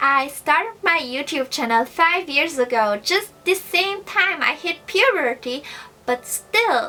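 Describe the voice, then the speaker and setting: A woman speaks very slowly in a raised, projected voice at a high pitch, with very wide pitch swings. Noticeable background noise is present. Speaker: YouTuber.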